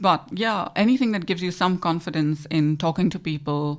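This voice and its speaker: A woman in an Indian accent at a moderate pace, in a very clean recording with a silent background. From India, Goa. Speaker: financial adviser. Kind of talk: interview.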